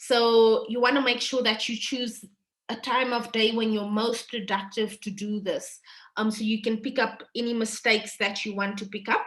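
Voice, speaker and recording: With a non-native accent, a woman speaks at a fairly high pitch in a monotone, flat delivery. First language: not English. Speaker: university lecturer. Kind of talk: online workshop presentation.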